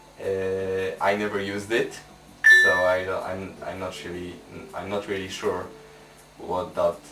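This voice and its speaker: A man speaks at a fairly slow pace with a Polish accent. There is noticeable background noise and audible room echo. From Poland. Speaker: tech reviewer. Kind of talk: product review tutorial.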